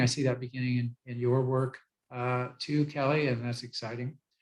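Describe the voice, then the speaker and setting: A man speaks fairly quickly, his voice somewhat breathy and his intonation fairly even. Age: 70s. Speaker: author and program founder. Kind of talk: interview. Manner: halting, many fillers.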